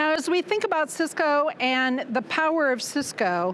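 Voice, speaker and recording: A woman with a Midwestern American accent. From US Midwest, Nebraska. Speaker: former educator, business development manager. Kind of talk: conference presentation. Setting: conference stage with audience. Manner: projecting teacher voice.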